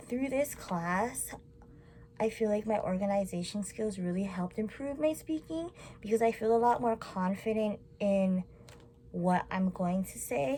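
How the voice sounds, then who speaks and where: A woman speaks at a medium pitch with lively intonation. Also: fairly slow pace. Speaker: college student. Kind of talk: class presentation to camera. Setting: recorded to camera. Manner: mumbling; animated.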